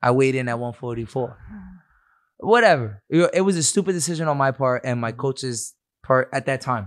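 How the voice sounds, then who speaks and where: At a medium pitch and moderate pace, a man with an ordinary speaking voice shows ordinary pitch variation on a very clean recording with a silent background. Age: 20s. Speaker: professional MMA fighter. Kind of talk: casual chat.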